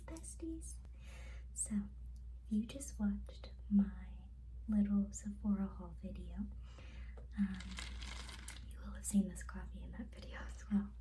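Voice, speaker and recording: Soft-spoken and very deep in pitch, a woman talks fairly slowly in a monotone, flat way with long, frequent pauses and big swings in loudness over noticeable background noise. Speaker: ASMR creator. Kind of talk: casual get-ready-with-me chat.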